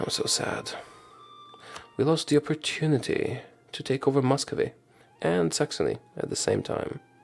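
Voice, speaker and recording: A whisper at a moderate pace. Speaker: video game streamer. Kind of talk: gameplay commentary. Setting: at home. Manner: soft-spoken.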